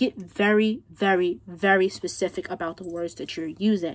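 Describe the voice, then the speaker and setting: The speaker is a woman with a mid-range pitch. She keeps her intonation fairly level. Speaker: tarot reader. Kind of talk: tarot reading. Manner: fast.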